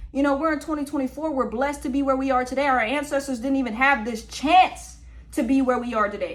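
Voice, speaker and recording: Woman's high, animated voice at a very fast pace over noticeable background noise. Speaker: podcast host. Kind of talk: opinion monologue.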